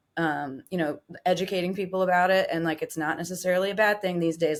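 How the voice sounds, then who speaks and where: Monotone and flat, a woman speaks on a very clean recording with a silent background. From southwestern Virginia, Appalachia. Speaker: singer-songwriter. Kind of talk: casual chat.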